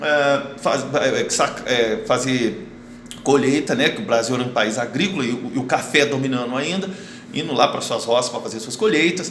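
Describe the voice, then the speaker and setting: A man's fairly high voice with a Brazilian accent and lively intonation, plus audible room echo and noticeable background noise. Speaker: school history teacher. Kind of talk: online lesson. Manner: fast; hesitant, many fillers.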